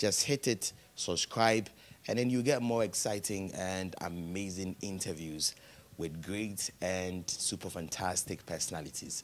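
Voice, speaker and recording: A man's very deep, low voice at a fairly slow pace, with ordinary pitch variation. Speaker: TV talk show host. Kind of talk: TV interview; show outro call to subscribe. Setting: TV studio. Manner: animated. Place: home room. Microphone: handheld.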